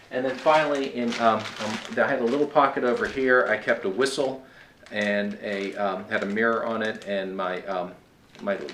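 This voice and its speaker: With noticeable background noise and audible room echo, a man talks at a moderate pace, his medium pitch showing ordinary variation. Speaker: long-distance hiker. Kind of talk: gear review tutorial. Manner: hesitant, many filler words.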